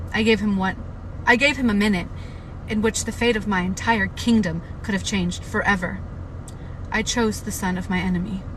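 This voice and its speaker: In a room with audible echo and noticeable background noise, a woman talks at a fairly quick pace but with long, frequent pauses. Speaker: book reader livestreamer. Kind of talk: reading aloud. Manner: halting.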